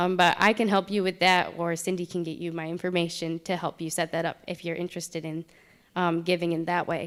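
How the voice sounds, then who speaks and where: A woman speaks fairly quickly in a fairly low voice. The recording is very clean, with a silent background. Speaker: camp communications director, missions speaker. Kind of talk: church presentation. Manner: hesitant, many fillers.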